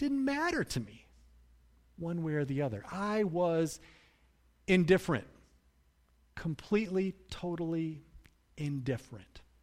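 A high-pitched man at a fairly slow pace, with very wide pitch swings, long and frequent pauses, and a very clean recording with a silent background. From US Midwest, Grand Rapids, Michigan. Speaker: pastor. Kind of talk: sermon.

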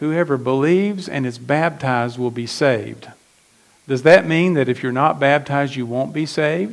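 An unremarkable speaking voice at a moderate pace with lively intonation and an American accent. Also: man. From West Virginia. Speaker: pastor. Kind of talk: sermon.

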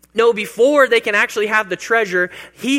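A man speaks in a raised, projected voice with a high pitch. His tone is bright and sharp, with lively intonation. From Kansas, US. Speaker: pastor. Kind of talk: sermon.

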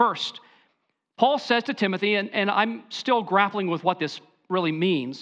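A man's high, raised and projected voice, bright and sharp in tone, with lively intonation at a moderate pace over a quiet background. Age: 40s. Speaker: pastor. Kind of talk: sermon.

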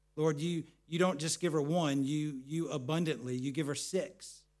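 An unremarkable speaking voice belongs to a man talking at a moderate pace in a fairly high pitch with ordinary variation. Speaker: pastor. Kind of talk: sermon ending in a fervent closing prayer. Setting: church. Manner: earnest, pleading, heartfelt.

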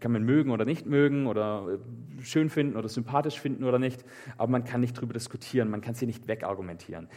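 A very fast, animated man at a medium pitch, with ordinary pitch variation. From southern Germany, Swabian Alb (Meßstetten). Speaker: preacher. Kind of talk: sermon. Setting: live church service, also livestreamed.

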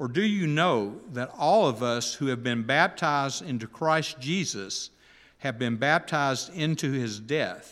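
A normal speaking voice from a man, fairly high in pitch, with lively intonation and a fairly slow pace, in a very clean recording with a silent background. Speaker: preacher. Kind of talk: sermon. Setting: church.

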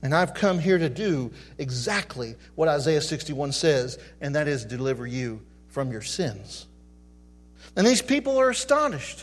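Using a normal speaking voice, a man talks at a fairly high pitch with lively intonation. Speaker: pastor. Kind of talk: sermon. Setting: church.

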